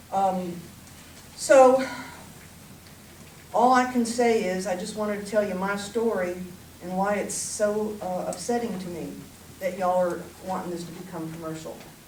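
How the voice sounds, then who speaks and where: Speaking in a Southern US accent, a woman leaves long, frequent pauses, with big swings in loudness, ordinary pitch variation, audible room echo and noticeable background noise. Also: medium pitch for a woman, moderate pace. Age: 60s. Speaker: resident speaking at public hearing. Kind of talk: public comment testimony.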